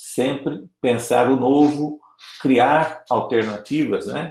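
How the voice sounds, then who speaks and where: The man's fairly high voice comes very slowly, his intonation fairly even. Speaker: Salesian priest giving a formation talk. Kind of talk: online formation lecture.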